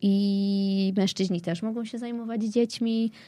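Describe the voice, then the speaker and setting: A woman is speaking. Her tone is dark and mellow. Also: very clean recording, silent background. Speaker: blogger and writer. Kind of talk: casual chat.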